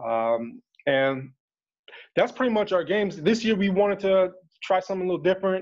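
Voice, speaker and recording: Against a quiet background, a man with an American accent talks at a fairly quick pace in a high pitch, with lively intonation and long, frequent pauses. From New Jersey. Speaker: community group organizer. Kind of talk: casual interview. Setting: video call.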